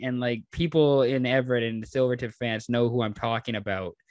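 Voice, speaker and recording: Against a quiet background, a man with an unremarkable speaking voice talks at a moderate pace in a medium pitch. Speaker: podcast host. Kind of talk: casual podcast conversation.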